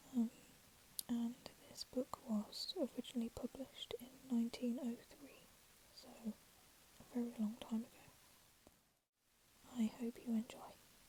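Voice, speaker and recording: A soft-spoken woman whispering at a moderate pace, with long, frequent pauses and big swings in loudness. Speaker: ASMR storyteller. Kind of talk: casual introduction to viewers. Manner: soft-spoken, whispered.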